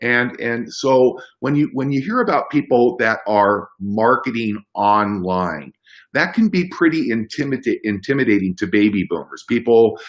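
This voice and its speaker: This man has a plain, everyday voice at a medium pitch. He talks at a moderate pace with lively intonation. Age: 60s. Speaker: business opportunity presenter. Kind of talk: sales pitch. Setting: conference call.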